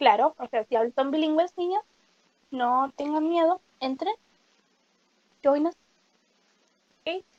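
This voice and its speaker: In a dry, close sound with no echo, a woman with a high pitch speaks at a very slow pace, leaving long, frequent pauses. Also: ordinary pitch variation. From Uruguay. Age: 20s. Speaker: podcast co-host, university student. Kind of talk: casual chat.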